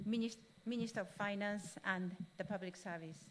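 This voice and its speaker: A woman talks with a Japanese accent. Her intonation is fairly even. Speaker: UN official. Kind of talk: formal speech. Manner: halting.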